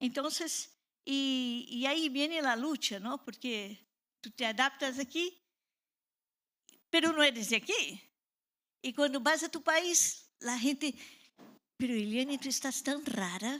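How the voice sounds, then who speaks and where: A woman's raised, projected voice, high in pitch with ordinary pitch variation, in a Portuguese accent at a very slow pace with long, frequent pauses. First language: Portuguese (speaking Spanish). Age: 60s. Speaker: pastor. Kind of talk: sermon.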